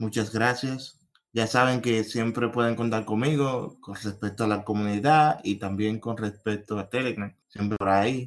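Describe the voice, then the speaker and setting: A man with a medium pitch uses an unremarkable speaking voice and fairly even intonation. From Dominican Republic. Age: 20s. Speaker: software quality analyst. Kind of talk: interview.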